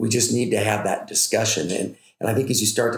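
A man with an American accent speaks at a moderate pace, his voice somewhat breathy. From Northern California (Butte County). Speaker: cattle rancher and agriculture professor. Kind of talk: interview conversation.

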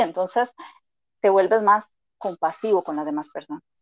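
In a dry, close recording with no echo and a quiet background, a woman talks at a moderate pace with a medium pitch. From Costa Rica. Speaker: emotional intelligence coach. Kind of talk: interview.

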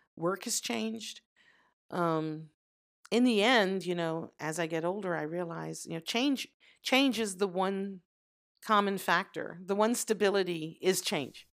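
A woman speaks in an ordinary speaking voice with an American accent, at medium pitch and a fairly slow pace. Her pitch variation is ordinary, and the recording is very clean with a silent background. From US South, Louisiana. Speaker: mother of the host, expatriate. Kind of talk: casual interview.

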